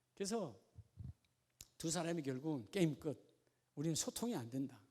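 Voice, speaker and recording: A man speaks at a moderate pace in a fairly high pitch, his dark, mellow tone carried by lively intonation. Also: long, frequent pauses, big swings in loudness. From Gyeongsang region, South Korea. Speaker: pastor. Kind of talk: sermon. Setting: church. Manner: animated.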